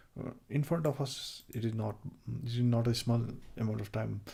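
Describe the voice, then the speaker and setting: The delivery is fairly slow. It comes with a non-native accent. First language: not English. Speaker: programming livestreamer. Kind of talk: live coding tutorial. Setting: livestream. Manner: halting, many fillers.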